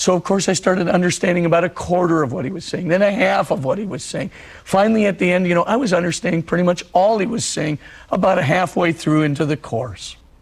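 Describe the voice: Husky and high-pitched, a man talks at a fairly quick pace with ordinary pitch variation.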